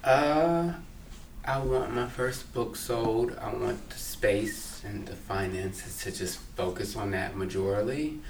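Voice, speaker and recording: Amid noticeable background noise and audible room echo, a man speaks at a medium pitch with an American accent. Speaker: writer and culture critic. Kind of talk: casual interview chat.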